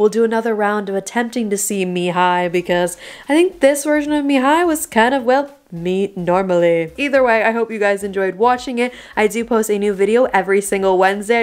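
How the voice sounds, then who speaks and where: A woman at a fairly quick pace, lively intonation, quiet background. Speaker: vlogger. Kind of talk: casual vlog chat. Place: home room. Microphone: phone near.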